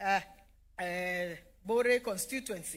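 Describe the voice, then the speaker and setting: This woman talks at a moderate pace with ordinary pitch variation and a Kenyan accent. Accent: Kenyan (Meru) English. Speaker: politician. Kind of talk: public speech.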